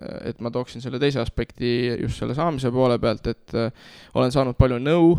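This is a man with an unremarkable speaking voice at a medium pitch and ordinary pitch variation. The sound is dry and close, with no echo. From Estonia, Nõo (Tartu County). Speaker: youth worker and church community leader. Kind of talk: interview testimony.

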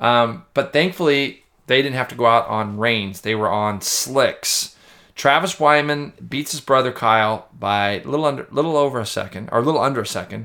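This man has an unremarkable speaking voice at medium pitch. He talks at a moderate pace with ordinary pitch variation. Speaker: motorcycle racing commentator. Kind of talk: casual chat.

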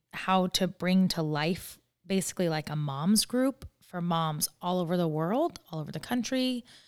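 In a very clean recording with a silent background, a woman with an ordinary speaking voice talks fairly slowly at a medium pitch with lively intonation. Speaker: podcast host and founder. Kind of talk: casual interview chat. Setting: studio.

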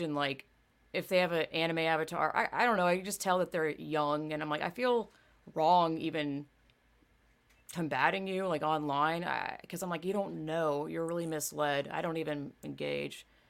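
A woman with an American accent speaks at a moderate pace in a very deep, low pitch. The recording is very clean, with a silent background. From US South. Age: 30s. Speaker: podcast host. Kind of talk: casual chat.

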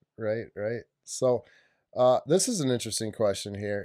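A man with an American accent speaks in a normal speaking voice at a medium pitch. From Wisconsin, Lake Winnebago area. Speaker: podcast co-host. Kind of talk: casual interview. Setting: studio.

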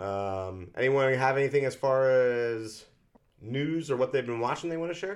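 A man's normal speaking voice, medium in pitch, with lively intonation at a moderate pace. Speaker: podcast co-host. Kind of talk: casual chat.

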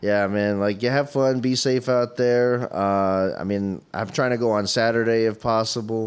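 A man with a normal speaking voice talks at a medium pitch and a moderate pace. His loudness stays very even, his intonation is fairly even, and he hardly pauses at all. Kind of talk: casual comedy chat.

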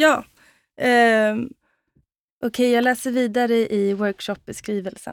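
A woman with a Swedish accent and a fairly high pitch, very slow pace with long, frequent pauses, fairly even intonation, on a very clean recording with a silent background. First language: Swedish (speaking Danish). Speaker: dancer and choreographer. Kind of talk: casual chat.

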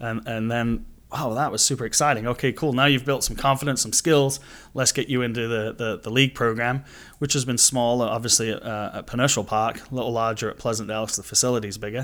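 A man with a Manchester accent talks at a very fast pace, his pitch medium. His intonation stays fairly even over a very clean recording with a silent background. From England, Manchester. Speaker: youth soccer club director. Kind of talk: casual interview.

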